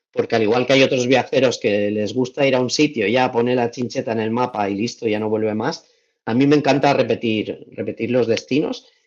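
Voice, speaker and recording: A man's medium-pitched voice moves at a moderate pace with fairly even intonation. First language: Valencian (speaking Spanish). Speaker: travel content creator. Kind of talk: podcast interview. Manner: hesitant, many repetitions.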